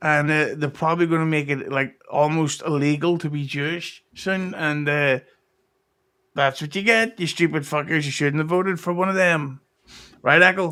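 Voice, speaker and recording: A voice with a Derry accent carries a bright, sharp tone and fairly even intonation. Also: man, fairly high pitch for a man, moderate pace, very clean recording, silent background. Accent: Northern Irish (Derry). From Northern Ireland, Derry. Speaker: podcast guest. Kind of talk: casual chat.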